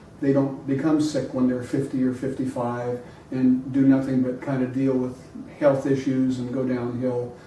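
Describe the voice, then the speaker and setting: There is noticeable background noise and audible room echo around a man's voice. He speaks at a moderate pace and medium pitch, in a monotone, flat intonation. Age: 60s. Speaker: podcast guest, health enthusiast. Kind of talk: casual conversation. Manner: halting, with many fillers.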